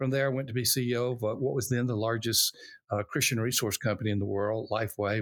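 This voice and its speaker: With a Southern US accent, a man talks very fast at a medium pitch and fairly even intonation in a very clean recording with a silent background. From US South, Alabama. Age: old. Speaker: pastor and church consultant, author. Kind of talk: interview.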